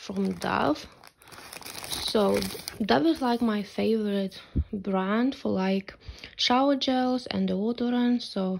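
A woman at a very slow pace with long, frequent pauses and ordinary pitch variation, over light background noise. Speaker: vlogger. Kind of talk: casual vlog chat. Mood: happy, pleased. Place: home room. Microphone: phone near.

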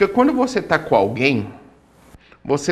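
A man is speaking. His pitch swings very widely. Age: 30s. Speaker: author; interviewee. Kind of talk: TV interview. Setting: studio. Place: studio. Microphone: lapel.

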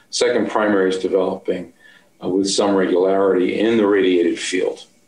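A man talks at a moderate pace in a fairly low voice. His intonation stays fairly even, and the room echo is audible. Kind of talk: interview answer. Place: office. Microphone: webcam.

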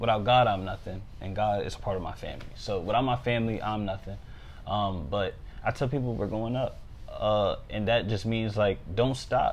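A man with an American accent, fairly low pitch, fairly even intonation and a moderate pace, over light background noise. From Maryland, US (St. Mary's County). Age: 20s. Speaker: financial analyst and freestyle rapper. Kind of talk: casual interview. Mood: relaxed, upbeat. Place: home room. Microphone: lapel.

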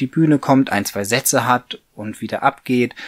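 A man speaks in a normal speaking voice at a medium pitch and moderate pace. The sound is dry and close with no echo. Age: 40s. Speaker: puppeteer, mechatronics engineer. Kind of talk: interview answer.

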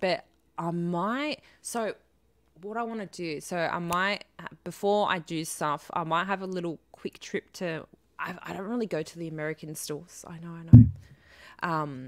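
Against a quiet background, a woman with an Australian accent speaks at a fairly slow pace in a fairly low pitch, with ordinary pitch variation and big swings in loudness. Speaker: live streamer. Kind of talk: casual live stream chat. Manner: chatty, rambling, lots of fillers. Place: home room. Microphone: studio mic.

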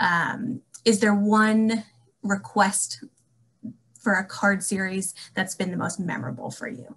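Speaking at a fairly slow pace, a woman shows vocal fry and ordinary pitch variation. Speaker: alumni relations staff, moderator; moderator. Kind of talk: panel moderation. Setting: video call. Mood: friendly, warm. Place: home room. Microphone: webcam.

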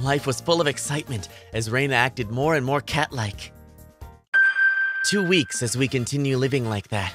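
Over faint background music, a woman performs a cartoonish character voice at an extremely low pitch, with lively intonation and a slightly husky edge. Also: moderate pace.

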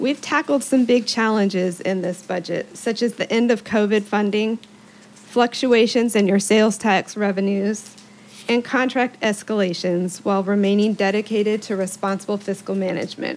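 The woman's pitch is medium and her intonation fairly even. She speaks at a moderate pace. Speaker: county manager; presenter. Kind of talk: budget presentation at public meeting. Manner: formal. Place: meeting room. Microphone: podium.

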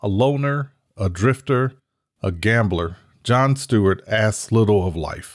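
An ordinary speaking voice moves at a fairly slow pace with ordinary pitch variation, on a very clean recording with a silent background. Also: man, fairly low pitch for a man. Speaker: video host and book promoter. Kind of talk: reading aloud a noir book blurb. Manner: measured and formal.

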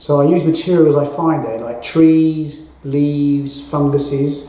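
A man with a London accent at a very slow pace, over light background noise with audible room echo. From England, North London. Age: 60s. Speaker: artist. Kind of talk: interview monologue about his art exhibition. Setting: at the gallery exhibition. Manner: halting, with frequent ums. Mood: calm, reflective. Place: hall.

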